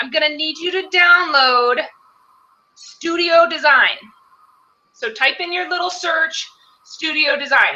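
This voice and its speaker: Using a raised, projected voice, a woman speaks at a fairly slow pace with an extremely high pitch, ordinary pitch variation, and long, frequent pauses. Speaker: live webinar co-host. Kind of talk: tutorial.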